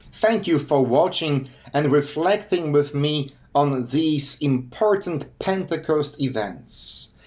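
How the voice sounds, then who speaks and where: With a Polish accent, a man talks at a very slow pace. His pitch is fairly high and his intonation lively. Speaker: pastor and hospice chaplain. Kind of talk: sermon; channel outro.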